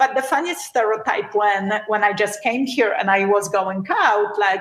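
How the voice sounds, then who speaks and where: Speaking at a moderate pace in a Polish accent, a woman keeps a fairly high pitch with ordinary variation and very even loudness. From Poland. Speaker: beauty entrepreneur. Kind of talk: podcast interview.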